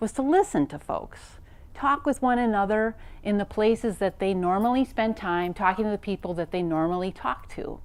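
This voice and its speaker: Lively intonation from a woman, medium in pitch and moderate in pace. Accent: Wisconsin. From US Midwest, Wisconsin. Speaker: professor. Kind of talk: lecture.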